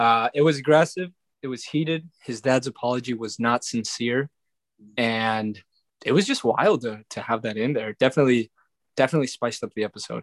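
A normal speaking voice with ordinary pitch variation sounds dry and close with no echo, on a very clean recording with a silent background. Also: man, medium pitch for a man, fairly quick pace. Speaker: returning guest, brother of other guest. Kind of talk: casual podcast chat.

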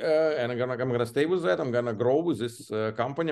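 With an Eastern European accent, a man talks at a medium pitch with ordinary pitch variation. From Belarus. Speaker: franchise area developer. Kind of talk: interview conversation. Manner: halting, with fillers.

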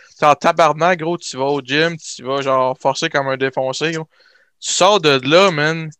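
A man speaks at a fairly slow pace with a fairly high pitch and a bright, sharp tone. His intonation is fairly even, and the sound is dry and close with no echo. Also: quiet background. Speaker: nursing student. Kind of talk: casual chat.

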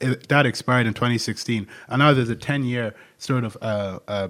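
This very clean recording with a silent background captures a man speaking with an Irish accent. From Ireland. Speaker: podcast co-host, university student. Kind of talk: casual political discussion.

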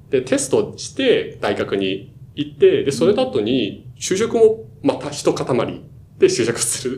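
A man with a Chinese accent at a very slow pace, over noticeable background noise. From China, Shanghai. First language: Chinese (speaking Japanese). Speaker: management consultant. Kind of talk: casual chat. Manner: halting, many fillers.

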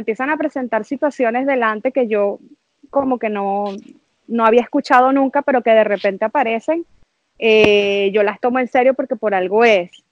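High-pitched woman with a Venezuelan accent, ordinary pitch variation and a moderate pace. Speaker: mother sharing birth story. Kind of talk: casual interview, personal testimony.

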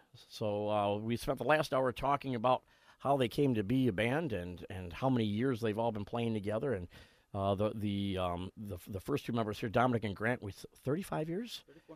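On a very clean recording with a silent background, a man uses a plain, everyday voice, medium-pitched, moving at a moderate pace with ordinary pitch variation. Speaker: radio host. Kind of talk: casual radio talk show chat. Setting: radio studio. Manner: joking, talkative.

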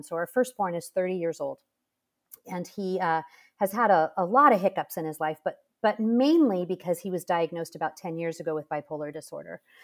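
Using an ordinary speaking voice, a woman of medium pitch talks at a fairly quick pace with lively intonation. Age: 50s. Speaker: author and mother of eight. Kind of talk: interview conversation.

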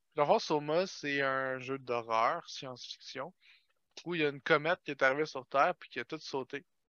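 Speaking with a Quebec accent, a man at a fairly high pitch and moderate pace shows big swings in loudness and ordinary pitch variation. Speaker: podcast guest. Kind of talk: casual chat.

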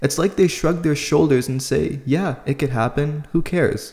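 A man speaks in a plain, everyday voice. His pace is moderate and his pitch varies in an ordinary way. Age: 20s. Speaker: podcast host. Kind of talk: solo commentary monologue.

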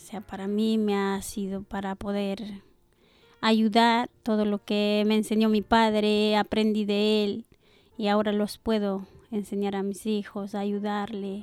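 A woman's medium-pitched voice, very slow and monotone, with flat intonation. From Ecuador. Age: 40s. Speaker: churchgoer sharing faith testimony. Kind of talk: testimony. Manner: halting.

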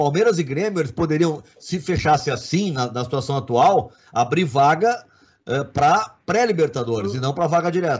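A man's somewhat breathy, fairly high voice at a moderate pace, with lively intonation. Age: 50s. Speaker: sports journalist and commentator. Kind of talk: casual sports debate.

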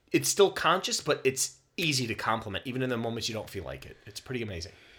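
Very fast delivery with a bright, sharp tone, very wide pitch swings and vocal fry. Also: man, medium pitch for a man. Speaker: podcast co-host. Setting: sharing one microphone, practice recording. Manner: relaxed, joking.

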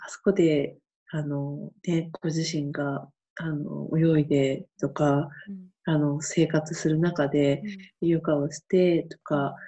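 Very deep and low in pitch, a woman speaks at a very slow pace with monotone, flat intonation. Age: 50s. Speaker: camp manager, freelancer. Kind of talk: interview.

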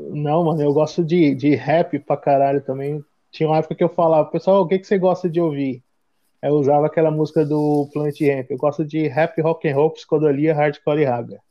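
The speaker talks at a fairly quick pace with a São Paulo accent. The intonation stays fairly even. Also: man, fairly high pitch for a man. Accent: Paulistano Brazilian Portuguese. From São Paulo, Brazil (east side). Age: 30s. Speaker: hardcore band member living abroad. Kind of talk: casual chat.

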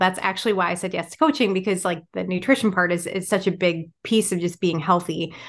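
With an American accent, a woman speaks in a plain, everyday voice at a medium pitch against a quiet background. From Michigan. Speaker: writer and farmer. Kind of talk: interview conversation.

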